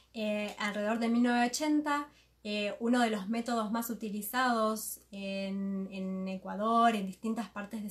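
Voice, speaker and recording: A woman's fairly high-pitched voice, very slow pace and fairly even intonation. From Argentina, Buenos Aires. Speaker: interpreter and moderator. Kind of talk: live consecutive interpretation. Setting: live video stream, seated beside the guest.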